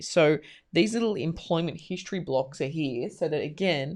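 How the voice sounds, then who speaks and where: With a very deep, low pitch and lively intonation, a woman speaks in a very clean recording with a silent background. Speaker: marketing coach. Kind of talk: tutorial. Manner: loud.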